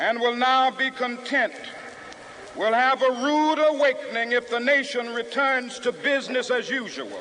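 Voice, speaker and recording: Over noticeable background noise, a man with an American accent projects his extremely high-pitched voice at a moderate pace, keeping a very even loudness and a flat, monotone intonation. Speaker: civil rights leader and preacher. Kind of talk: public oration at a rally, historical speech recording. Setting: outdoor rally with a crowd and PA system, 1963 archival audio.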